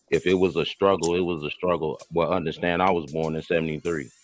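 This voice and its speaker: At a fairly quick pace, a man talks with a very deep, low pitch and vocal fry. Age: 40s. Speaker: podcast host. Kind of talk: casual chat.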